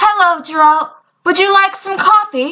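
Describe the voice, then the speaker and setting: Using a squeaky, put-on character voice, a woman speaks at an extremely high pitch. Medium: read story. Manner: indignant, demanding.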